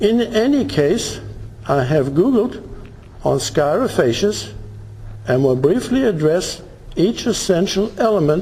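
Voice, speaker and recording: A man's high-pitched voice at a fairly slow pace, with very wide pitch swings and noticeable background noise. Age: 70s. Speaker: retired farmer. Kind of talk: courtroom statement by self-represented litigant. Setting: courtroom recording.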